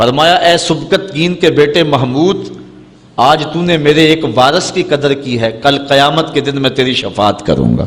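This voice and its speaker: Noticeable background noise behind a man's talk, its pitch shifting in an ordinary way. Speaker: Islamic preacher giving a sermon. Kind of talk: religious sermon (bayan), emotional preaching.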